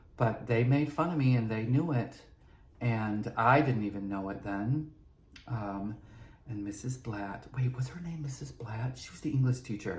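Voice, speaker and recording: At a moderate pace, a man speaks at medium pitch in a somewhat breathy voice with ordinary pitch variation, big swings in loudness and audible room echo. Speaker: podcast host. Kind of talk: personal storytelling monologue. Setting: prop room at a studio.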